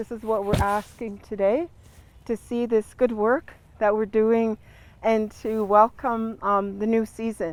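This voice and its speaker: A woman speaks with a Great Lakes accent and a fairly high pitch. Her pace is fairly slow and her intonation fairly even. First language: Ojibwe. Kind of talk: ceremonial teaching. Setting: outdoors in a garden.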